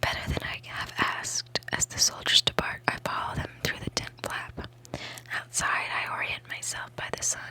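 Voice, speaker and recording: Whispering at a moderate pace, a woman speaks over noticeable background noise. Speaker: ASMR creator. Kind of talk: ASMR book reading, whispered. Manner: whispered.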